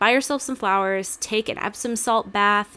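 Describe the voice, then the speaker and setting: The speech runs at a moderate pace, and its pitch varies in an ordinary way. Its tone is bright and sharp. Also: woman. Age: 20s. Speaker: podcast co-host. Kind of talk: casual chat.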